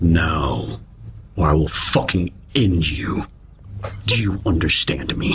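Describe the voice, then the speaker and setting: Using a put-on character voice, a man speaks very deep and low at a fairly slow pace. Long, frequent pauses break it up over clear background noise. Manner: menacing, threatening.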